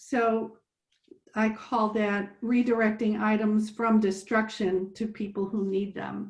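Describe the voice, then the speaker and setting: A somewhat breathy woman's voice, fairly high in pitch, monotone and flat, at a very slow pace. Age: 70s. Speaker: participant in interfaith climate discussion. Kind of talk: sharing personal story in group discussion.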